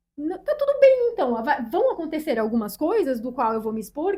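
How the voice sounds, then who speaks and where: This woman's voice has a high pitch. The tone is dark and mellow. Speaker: podcast co-host, teacher. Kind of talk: casual chat.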